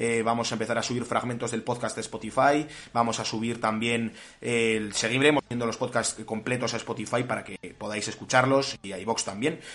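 In an ordinary speaking voice, a man talks at a fairly quick pace with medium pitch and fairly even intonation. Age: young. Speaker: podcast host. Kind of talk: casual chat. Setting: online call.

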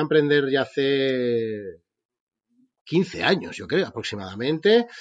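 Lively intonation at a fairly slow pace, in a normal speaking voice. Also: man. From Spain. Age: 40s. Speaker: entrepreneur. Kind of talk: interview.

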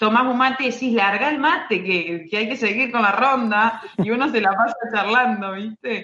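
A woman speaking at a fairly slow pace with ordinary pitch variation. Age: 30s. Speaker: basketball referee. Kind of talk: interview. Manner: halting, many repeated words.

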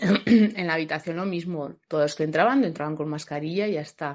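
A woman talks with lively intonation at a moderate pace against a quiet background. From Logroño, La Rioja, Spain. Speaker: new mother. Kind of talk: testimony. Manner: casual.

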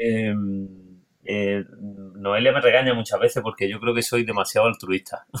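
The intonation is flat and monotone. The pace is fairly slow. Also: man, medium pitch for a man. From Granada coast, Spain. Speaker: hospitality consultant and cook. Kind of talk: interview.

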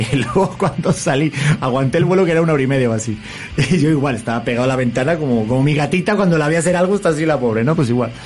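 Over music in the background, the speaker goes at a very fast pace in an animated tone, with very even loudness and ordinary pitch variation. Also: man, fairly high pitch for a man. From Spain, Madrid. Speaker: talk show host. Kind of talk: casual interview chat.

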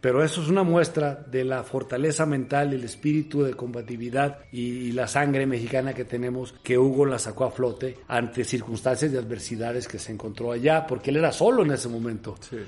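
A man at medium pitch and a fairly quick pace, with fairly even intonation, hardly any pauses and noticeable background noise. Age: 50s. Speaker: football assistant coach. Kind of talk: interview.

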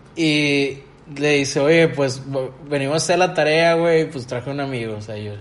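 Over noticeable background noise and audible room echo, a man with a Mexican accent speaks at a moderate pace. His pitch is fairly high, with ordinary variation. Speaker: podcast host. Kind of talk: casual chat.

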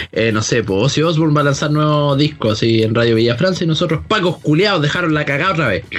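A man talks at a fairly quick pace in a fairly high voice. His intonation is lively. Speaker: podcast host. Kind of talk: casual chat. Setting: Skype call.

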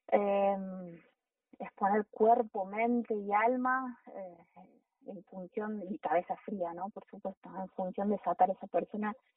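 A woman speaks fairly slowly, her medium pitch carried by fairly even intonation. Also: big swings in loudness. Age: 40s. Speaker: mountain guide and first aid instructor. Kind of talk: interview. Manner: halting.

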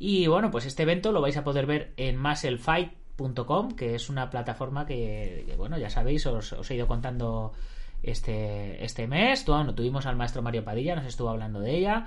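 In a space with audible room echo, a man at medium pitch speaks at a moderate pace with lively intonation. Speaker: martial arts podcast host. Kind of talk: interview.

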